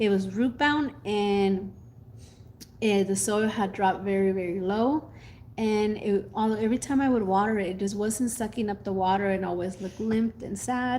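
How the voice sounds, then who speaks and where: A woman's medium-pitched voice with a dark, mellow tone, ordinary pitch variation and a moderate pace. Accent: Mexican. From Mexico. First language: Spanish. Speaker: gardening youtuber. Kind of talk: casual chat. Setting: live stream.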